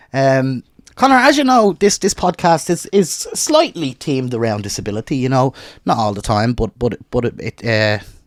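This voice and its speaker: The voice carries an Irish accent and moves at a fairly quick pace with very wide pitch swings. The sound is dry and close, with no echo. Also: man. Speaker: podcast host. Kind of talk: casual chat.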